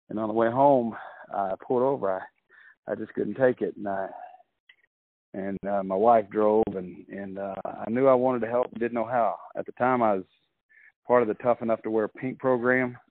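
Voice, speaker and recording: A man with an unremarkable speaking voice at medium pitch and moderate pace, fairly even in intonation. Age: 50s. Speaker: comedian and entertainer. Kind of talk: casual interview. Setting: phone call.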